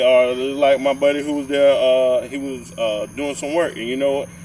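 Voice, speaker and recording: With a Georgia accent, a man of fairly high pitch talks at a moderate pace. Noticeable background noise runs underneath. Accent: southern US (Georgia) rural. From rural Georgia. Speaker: podcast co-host. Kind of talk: casual chat.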